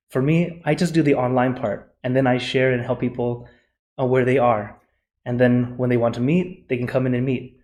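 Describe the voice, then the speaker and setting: A man with an American accent speaks at a medium pitch in a dark, mellow tone. His intonation stays fairly even. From USA. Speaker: Buddhist monk and meditation teacher. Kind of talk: conference presentation; Q&A answer. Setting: conference forum. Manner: fast.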